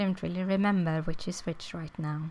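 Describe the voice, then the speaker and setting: With a non-native accent, a woman speaks at a moderate pace in a fairly low pitch with fairly even intonation. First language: not English. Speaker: crafting youtuber. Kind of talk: tutorial. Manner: halting, many fillers.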